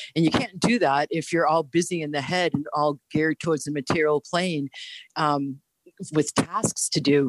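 A woman with a slight Boston accent speaks in a very deep, low voice at a moderate pace. Her intonation is fairly even, and the sound is dry and close with no echo. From Boston, US. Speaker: holistic health teacher. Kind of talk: casual interview. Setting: remote audio-only call.

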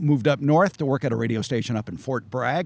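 A man with an American accent has an unremarkable speaking voice, medium in pitch, with ordinary pitch variation. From Southern California. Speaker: gardening expert and radio host. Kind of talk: interview chat. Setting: outdoors at garden center. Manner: wry, humorous.

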